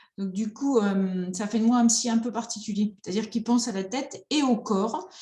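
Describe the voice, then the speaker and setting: A dark, mellow tone at a moderate pace, with ordinary pitch variation and audible room echo. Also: woman. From France, rural. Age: 50s. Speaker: psychotherapist. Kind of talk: online conference talk.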